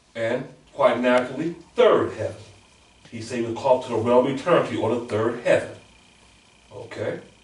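A man at a moderate pace with long, frequent pauses and big swings in loudness, over noticeable background noise. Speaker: class moderator and religious lecturer. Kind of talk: religious lecture. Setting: classroom with audience. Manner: formal.

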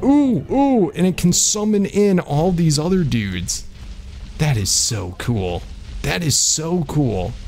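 A man talks very slowly while music plays in the background. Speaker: gaming YouTuber. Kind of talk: gameplay commentary. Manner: animated.

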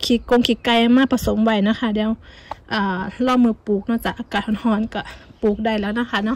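Her intonation monotone and flat, a woman speaks with a dry sound and no echo. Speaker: home gardener vlogger. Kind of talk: casual vlog chat. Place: garden. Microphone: phone near.

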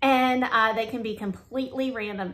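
A woman speaks with lively intonation and a bright, sharp tone. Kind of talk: tutorial. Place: home room. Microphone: phone near.

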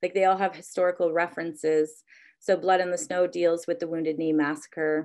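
The speaker is a woman. The background is quiet. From Ontario, Canada (Anishinaabe community, Georgian Bay island); Ontario. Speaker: museum curator. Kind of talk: lecture. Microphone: video call.

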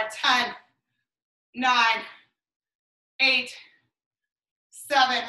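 High-pitched and bright, sharp in tone, a woman speaks in a monotone, flat intonation, with audible room echo over a quiet background. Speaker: fitness instructor. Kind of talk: live exercise class, cueing moves and counting down reps to a follower. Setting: video workout at home, morning session. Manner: encouraging and friendly, warm sign-offs. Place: home room.

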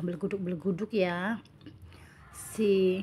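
Somewhat breathy, a woman speaks at medium pitch. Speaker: cooking and eating vlogger. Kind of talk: voiceover narration for a cooking and eating vlog. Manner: casual, chatty.

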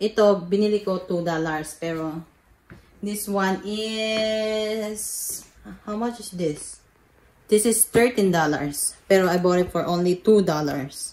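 A woman's speech carries ordinary pitch variation and moves at a very slow pace. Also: big swings in loudness. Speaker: thrift haul vlogger. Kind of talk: casual vlog chat. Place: home room. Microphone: phone near.

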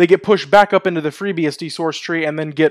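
The pace is very fast, with ordinary pitch variation. The background is quiet. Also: man. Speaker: tech video host. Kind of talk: tech commentary. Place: home room. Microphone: headset.

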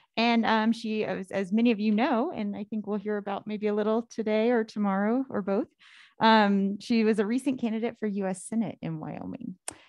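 A woman with a plain, everyday voice, fairly high in pitch, at a moderate pace with fairly even intonation. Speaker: academic seminar host. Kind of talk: speaker introduction. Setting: stage with audience.

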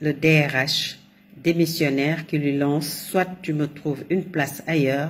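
A woman speaks in a very deep, low voice with flat, monotone intonation. Her pace is very slow. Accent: Senegalese. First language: Wolof (speaking French). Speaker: commentator. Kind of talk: monologue commentary.

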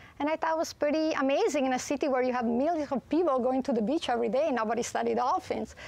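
Speaking very fast with an Italian accent, a woman keeps a high pitch with ordinary variation and very even loudness. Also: hardly any pauses, dry sound with no echo. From Italy. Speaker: marine biologist. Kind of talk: TV talk show interview. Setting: TV studio. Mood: earnest storytelling. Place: studio.

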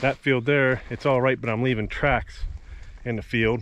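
A man at a moderate pace with fairly even intonation, in a dry sound with no echo. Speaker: farmer vlogger. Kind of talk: casual vlog chat. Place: farm machine. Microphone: phone near.

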